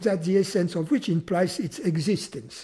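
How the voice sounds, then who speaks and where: A man with a French accent, high pitch and a dark, mellow tone. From France. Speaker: spiritual teacher. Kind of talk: philosophical conversation.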